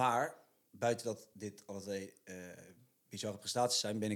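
A man talks at a moderate pace with a fairly low pitch and fairly even intonation. The recording is very clean with a silent background. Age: 20s. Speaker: podcast co-host, sports. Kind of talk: scripted intro; casual chat.

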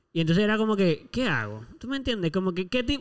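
Talking at a very fast pace, a man with a high-pitched voice makes very wide pitch swings on a very clean recording with a silent background. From Puerto Rico. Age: 20s. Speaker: podcast co-host. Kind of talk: casual chat.

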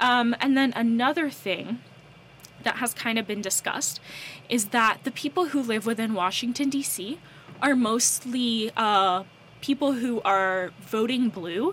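A fairly high-pitched woman with an American accent, ordinary pitch variation, and a fairly slow pace. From North Carolina, US. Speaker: co-host/podcaster. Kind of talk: casual chat.

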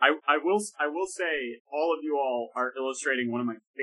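The reading voice is unforced, its intonation lively. Little sound intrudes from the background, which stays quiet.

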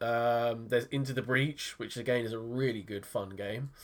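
In a very clean recording with a silent background, a man with a British accent talks at a moderate pace and a medium pitch. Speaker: tech podcast co-host. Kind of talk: casual chat.

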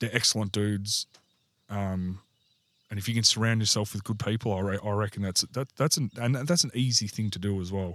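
Speaking at a fairly quick pace with an Australian accent, a man with a fairly low pitch and ordinary pitch variation is heard on a very clean recording with a silent background. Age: 40s. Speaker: army and air force veteran, publican. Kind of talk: casual interview chat.

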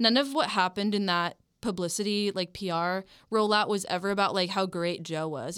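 In a very clean recording with a silent background, a woman talks at a moderate pace with ordinary pitch variation. Her medium-pitched voice is an ordinary speaking voice. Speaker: college radio music director. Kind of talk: casual chat. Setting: studio.

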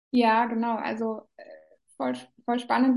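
A woman speaks at a moderate pace with a fairly high pitch, with music playing in the background. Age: 30s. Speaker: business coach. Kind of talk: interview.

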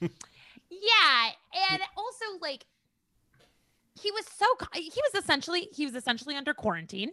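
With an Upper Midwest accent, a woman projects a raised voice at an extremely high pitch, bright and sharp in tone, with very wide pitch swings and long, frequent pauses. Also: fairly slow pace, dry, close sound with no echo. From Minnesota, near Rochester. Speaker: comedian. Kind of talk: casual chat.

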